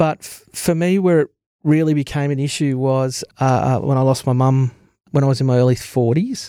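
A man speaks in an Australian accent, his tone dark and mellow at a medium pitch. His intonation is fairly even, and his pace is moderate. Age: 40s. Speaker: sales manager sharing mental illness story. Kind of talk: interview testimony.

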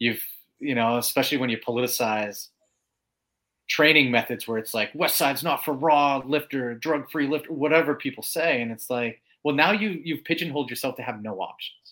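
Using a normal speaking voice, a man with a fairly high pitch and ordinary pitch variation is captured in a very clean recording with a silent background. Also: fairly quick pace. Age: 40s. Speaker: powerlifting coach. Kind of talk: casual interview chat.

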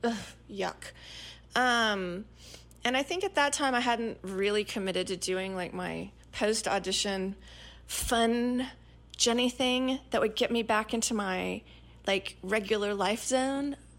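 Her pitch fairly high with ordinary variation, a woman speaks at a fairly slow pace with long, frequent pauses. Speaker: podcast host and actress. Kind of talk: casual solo podcast storytelling.

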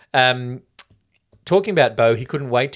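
This man talks at a fairly quick pace with an Australian accent and a medium pitch. The recording is very clean, with a silent background. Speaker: podcast co-host. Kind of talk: casual chat.

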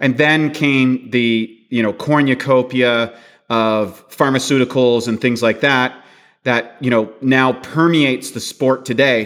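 A normal speaking voice at a fairly slow pace, with fairly even intonation. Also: man, medium pitch for a man. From Canada. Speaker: bodybuilding champion and nutrition author. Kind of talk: interview.

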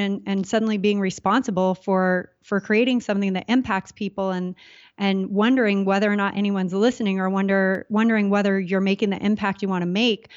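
A woman with a Californian accent, medium-pitched, fairly quick and fairly even in intonation. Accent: Californian American. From Southern California. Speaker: entrepreneur. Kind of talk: casual interview.

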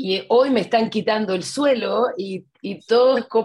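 Speaking at a fairly slow pace, this is a woman. Her pitch varies in an ordinary way. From Chile. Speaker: webinar participant, coaching student. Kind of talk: question-and-answer in an online class. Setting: video call. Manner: halting, many fillers.

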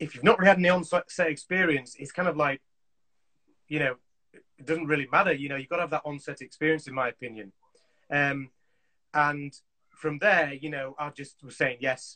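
The tone is bright and sharp, with ordinary pitch variation. The pace is fairly quick, yet long, frequent pauses break it up. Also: man. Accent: Yorkshire. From Yorkshire, Leeds. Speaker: assistant director in film and TV. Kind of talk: casual chat. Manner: animated.

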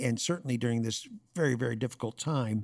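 Recorded very cleanly with a silent background and a dry, close sound with no echo, a man in a normal speaking voice talks at a fairly quick pace, with medium pitch and ordinary pitch variation. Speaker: podcast host. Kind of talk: interview.

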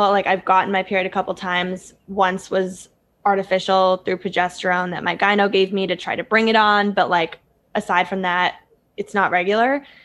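At a moderate pace, a woman talks in a normal speaking voice at a medium pitch. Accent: American. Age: 20s. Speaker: lifestyle YouTuber. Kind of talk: casual chat.

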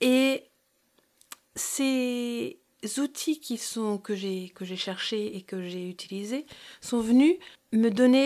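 A woman talks very slowly at a fairly high pitch, with ordinary pitch variation. The recording is very clean, with a silent background. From New York and Brittany, France. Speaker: naturopath and hypnotherapist, podcast host. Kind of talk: podcast monologue. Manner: hesitant, many fillers.

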